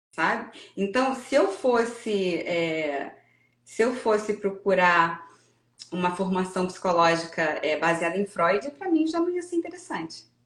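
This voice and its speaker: Her intonation is lively as a woman speaks at a fairly slow pace. Her pitch is medium. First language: English (Portuguese studied only to third grade) (speaking Portuguese). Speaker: psychoanalysis course graduate. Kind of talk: interview conversation. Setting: online live stream. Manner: hesitant, many fillers and repetitions.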